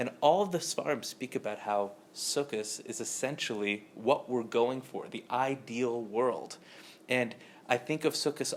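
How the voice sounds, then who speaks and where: A soft-spoken man with an American accent talks at a fairly slow pace in a medium pitch. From Southern California. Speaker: spiritual teacher. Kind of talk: lecture. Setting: room with live audience.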